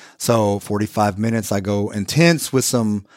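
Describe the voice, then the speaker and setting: An ordinary speaking voice from a man, fairly low in pitch, with ordinary pitch variation, on a very clean recording with a silent background. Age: 40s. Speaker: personal trainer. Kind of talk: casual interview. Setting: studio.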